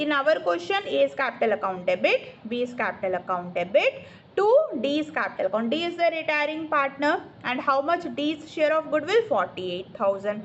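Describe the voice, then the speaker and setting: Speaking at a moderate pace with an Indian accent, a woman uses a high voice with very wide pitch swings. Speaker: accountancy tutor. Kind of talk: online tutoring lesson. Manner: explanatory, repetitive.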